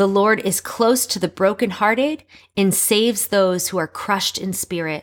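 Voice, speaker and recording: An ordinary speaking voice comes through with ordinary pitch variation. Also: woman, medium pitch for a woman, moderate pace. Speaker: podcast host.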